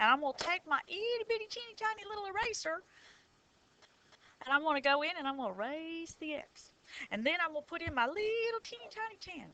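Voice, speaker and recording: Her voice raised and projected, a woman with a Southern US accent speaks at a very fast pace with extremely high pitch and very wide pitch swings. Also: big swings in loudness. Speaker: high school math teacher. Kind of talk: tutorial. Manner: animated.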